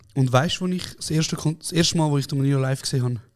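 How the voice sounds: Very fast speech from a man, fairly high in pitch, with a slightly mellow tone and ordinary pitch variation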